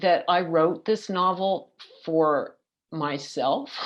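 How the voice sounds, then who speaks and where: A woman talks very slowly at a medium pitch. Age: 60s. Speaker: poet and novelist. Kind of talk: panel talk. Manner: halting, many repetitions.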